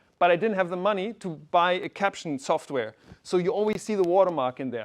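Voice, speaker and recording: A man speaks fairly quickly. Behind him, the background stays quiet. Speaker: science communicator. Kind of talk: keynote talk. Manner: fast.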